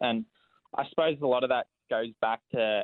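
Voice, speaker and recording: A man at medium pitch and a moderate pace. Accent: Australian. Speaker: racing driver. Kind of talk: casual interview.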